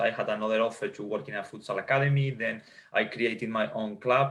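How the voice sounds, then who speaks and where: A man speaks with a Spanish accent at a fairly quick pace, his pitch varying in an ordinary way. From Spain. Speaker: futsal coach and sports scientist. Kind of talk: interview.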